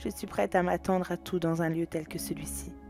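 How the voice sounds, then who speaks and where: Fairly slow speech from a woman over background music. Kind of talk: fantasy audio story narration. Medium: read story.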